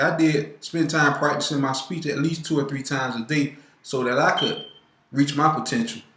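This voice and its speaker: Audible room echo surrounds this man as he talks. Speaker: student. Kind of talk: class presentation. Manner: fast.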